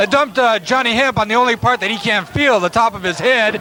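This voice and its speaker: A raised, projected voice speaks at a very fast pace with fairly even intonation. Noticeable background noise runs underneath. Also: man. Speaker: wrestling color commentator. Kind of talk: live wrestling color commentary.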